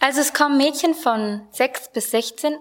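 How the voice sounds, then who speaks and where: A woman talks at a fairly slow pace in an ordinary speaking voice. Her pitch variation is ordinary. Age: 20s. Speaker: Bible school student and youth volunteer. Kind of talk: radio interview.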